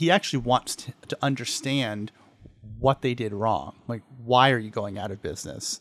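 Here is a normal speaking voice: a man with a medium pitch and ordinary pitch variation. He moves at a fairly quick pace, dry and close with no echo. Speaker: podcast co-host. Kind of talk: casual podcast recap chat. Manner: playful, laughs often.

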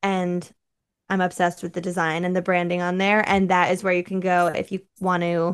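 A woman's normal speaking voice at a moderate pace over a quiet background. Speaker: digital content creator. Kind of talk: casual interview chat.

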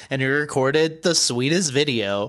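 A loud man speaks with a bright, sharp tone, a medium pitch and ordinary pitch variation. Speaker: wrestling podcast host. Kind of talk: casual chat.

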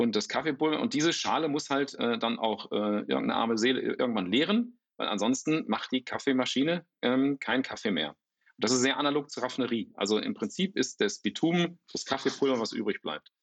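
A man at a fairly quick pace with hardly any pauses, medium-pitched and with lively intonation. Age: 50s. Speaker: startup founder. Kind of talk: interview. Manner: halting, many fillers and repetitions.

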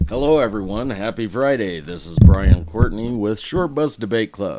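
Using a raspy, put-on character voice at a medium pitch, a man talks at a moderate pace with big swings in loudness. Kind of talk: announcer introduction voice. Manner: upbeat, show-opening.

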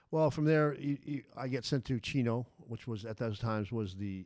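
In an American accent, a man with an ordinary speaking voice talks at a medium pitch and moderate pace, with ordinary pitch variation. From Las Vegas, Nevada. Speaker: former prisoner. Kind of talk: interview, life story.

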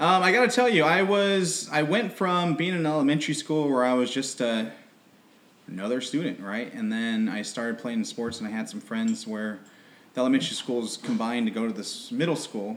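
Fairly quick and fairly high in pitch, a man speaks with an American accent. His pitch swings very widely. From Southern California, Riverside. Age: 30s. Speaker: businessman. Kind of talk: casual interview.

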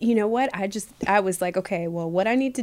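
A woman with a normal speaking voice and an American accent talks at medium pitch and a fairly quick pace, with ordinary pitch variation. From Michigan. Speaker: plant medicine practitioner and digital marketer. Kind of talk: casual interview chat.

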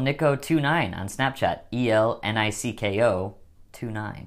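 A man with an American accent uses a plain, everyday voice at a fairly low pitch. His intonation is fairly even on a very clean recording with a silent background. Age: 20s. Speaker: podcast host. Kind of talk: casual chat. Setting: recording at parents' home.

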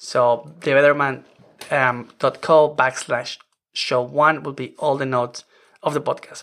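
A man's fairly high voice in a monotone, flat intonation, with long, frequent pauses and a non-native accent. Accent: foreign-accented English. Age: 40s. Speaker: podcast host. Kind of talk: solo podcast monologue, conversational. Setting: home office. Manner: informal, chatty, laughs often.

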